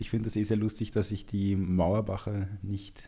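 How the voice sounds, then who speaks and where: A man talks at a moderate pace in a fairly low pitch. His voice is somewhat breathy. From Upper Austria. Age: 20s. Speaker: amateur footballer. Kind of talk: casual chat.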